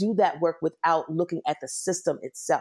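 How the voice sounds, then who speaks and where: Speaking at a fairly quick pace with a Washington DC accent, a woman has a dark, mellow tone and fairly low pitch with ordinary variation, her voice sounding dry and close with no echo against a quiet background. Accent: Washington D.C. accent, still noticeable. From Washington, D.C. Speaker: nonprofit CEO. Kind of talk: interview, casual conversation.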